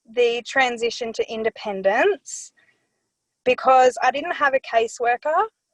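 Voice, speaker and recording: In an Australian accent, a woman with a high pitch talks at a fairly slow pace, recorded dry and close with no echo. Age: 20s. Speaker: care leaver, young consultant. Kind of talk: personal testimony in a webinar. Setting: webinar.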